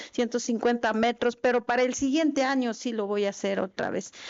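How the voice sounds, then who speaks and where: Fairly even intonation in a fairly high-pitched female voice. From Chiapas, Mexico. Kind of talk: formal speech at legislative meeting. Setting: meeting hall. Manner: halting, with fillers.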